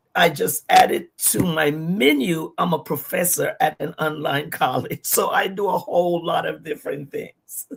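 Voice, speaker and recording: A woman speaks with a Virgin Islands accent. Her pace is fairly slow. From US Virgin Islands, Saint Thomas. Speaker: pastor and entrepreneur. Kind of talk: livestream interview.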